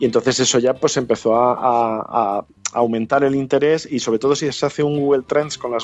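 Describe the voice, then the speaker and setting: At a fairly quick pace, a man talks in a normal speaking voice at a medium pitch with ordinary pitch variation. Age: 40s. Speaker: journalist and podcaster. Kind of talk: interview.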